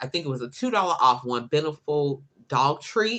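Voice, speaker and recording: A woman speaks loudly in a very deep, low pitch with a bright, sharp tone. Her delivery is animated and moderately paced. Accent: American. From Chicago, US Midwest. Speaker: couponing youtuber. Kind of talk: live stream chat.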